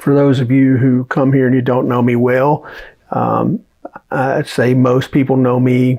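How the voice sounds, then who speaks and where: Speaking with a Southern US accent, a man keeps a medium pitch and a fairly slow pace. His intonation is monotone and flat, and his loudness stays very even. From US South, Alabama. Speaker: trial lawyer. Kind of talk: casual talk to camera. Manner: casual, with many fillers.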